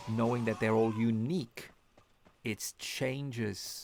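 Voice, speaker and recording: The speaker talks at a very slow pace. There is a non-native accent. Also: man. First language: not English. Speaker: gaming streamer. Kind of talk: live game stream commentary. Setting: live stream. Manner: halting, many restarts and fillers.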